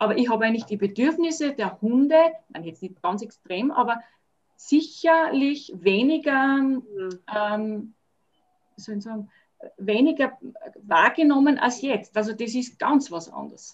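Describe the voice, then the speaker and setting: Lively intonation and big swings in loudness mark this woman's fairly high-pitched voice, which has long, frequent pauses. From Austria, Salzburg region. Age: 50s. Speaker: dog owner and dog sitter. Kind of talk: casual interview chat.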